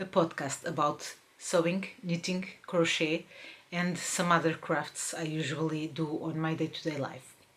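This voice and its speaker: A woman with a Portuguese accent at a fairly low pitch and fairly slow pace, over noticeable background noise. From Portugal, Lisbon. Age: 40s. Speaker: crafts podcaster. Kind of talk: casual podcast monologue. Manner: hesitant, many fillers.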